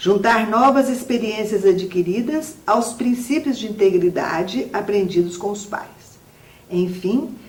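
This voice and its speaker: A woman with a Minas Gerais accent at a fairly high pitch, ordinary pitch variation and a fairly slow pace, amid audible room echo and noticeable background noise. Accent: Minas Gerais accent, still noticeable. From Minas Gerais, Brazil. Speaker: writer and musician, academy member. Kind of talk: interview; reading aloud.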